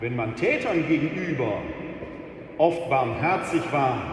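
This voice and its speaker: There is noticeable background noise in the clip. A man speaks with ordinary pitch variation. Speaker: preacher. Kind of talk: sermon in church. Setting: church. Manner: formal yet conversational, with rhetorical questions and wry humor.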